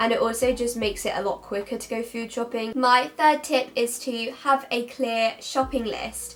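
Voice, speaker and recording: Faint music plays in the background as the speaker goes at a moderate pace with hardly any pauses and ordinary pitch variation. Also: woman, high pitch for a woman. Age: young. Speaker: university student; university student vlogger. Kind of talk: casual talk to camera. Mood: cheerful, friendly. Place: home room.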